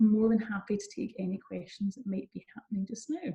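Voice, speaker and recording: Speaking with a Scottish accent, a woman uses a dark, mellow tone that is somewhat breathy, at a medium pitch and a moderate pace with ordinary pitch variation. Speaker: university recruitment manager. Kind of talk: online seminar presentation; answering audience questions. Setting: online seminar.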